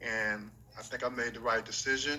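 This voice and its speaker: Through noticeable background noise, a man with an American accent speaks at a moderate pace in a medium pitch, his intonation monotone and flat. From North Carolina, Gastonia. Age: 60s. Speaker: former professional basketball player. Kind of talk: interview.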